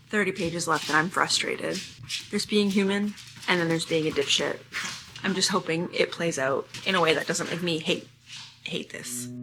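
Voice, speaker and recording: A woman's fairly low voice with ordinary pitch variation, a moderate pace, long and frequent pauses, and noticeable background noise. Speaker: book vlogger. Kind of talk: casual vlog talk to camera.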